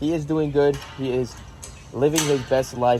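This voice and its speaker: Noticeable background noise behind a man talking at a fairly high pitch. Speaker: exotic animal ranch owner and vlogger. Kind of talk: casual vlog tour. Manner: casual with many fillers; quieter, softer tone around the animal.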